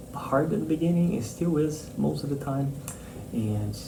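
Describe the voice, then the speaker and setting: Audible room echo surrounds a man with a non-native accent who speaks at medium pitch with ordinary pitch variation. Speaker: marine mammal scientist, professor. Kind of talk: interview answers. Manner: hesitant, many fillers and repetitions.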